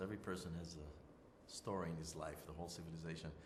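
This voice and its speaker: A man with an Israeli accent at a fairly quick pace, amid audible room echo and noticeable background noise. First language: Hebrew. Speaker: interviewee. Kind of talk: interview. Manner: halting, many fillers.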